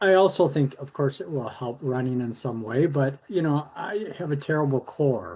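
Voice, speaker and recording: The speech keeps a moderate pace with hardly any pauses. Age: 60s. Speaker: coaching client, runner. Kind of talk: coaching call. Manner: halting.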